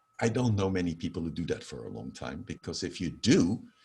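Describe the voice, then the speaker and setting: Vocal fry marks this man's voice as he speaks at a fairly quick pace. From Netherlands. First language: Dutch. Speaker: professor of holistic health. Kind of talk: interview.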